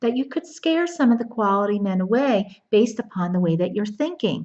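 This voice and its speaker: With an American accent, a somewhat breathy woman speaks at a moderate pace in a fairly high voice that swings very widely in pitch. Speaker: dating coach. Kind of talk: casual to-camera video talk. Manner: animated.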